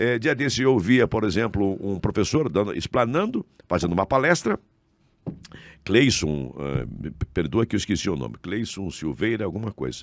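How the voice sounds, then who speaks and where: Very clean, with a silent background, this recording features a man with a fairly low pitch and vocal fry. His pace is moderate, and his pitch swings very widely. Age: 70s. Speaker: former state politician and radio and TV host. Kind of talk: casual interview chat. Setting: podcast studio.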